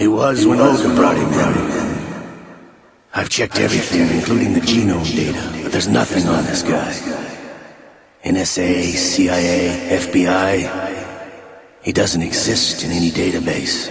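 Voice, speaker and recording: A man puts on a character voice with a very deep, low pitch. He moves at a moderate pace, broken by long, frequent pauses. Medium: video game. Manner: sly, theatrical.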